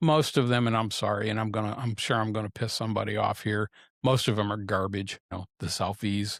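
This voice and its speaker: In a very clean recording with a silent background, a man with an unremarkable speaking voice talks at a fairly quick pace, his pitch fairly low and his intonation fairly even. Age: 60s. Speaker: podcast host and photographer. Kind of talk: solo podcast reflection. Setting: studio. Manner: casual, with frequent fillers and repetitions.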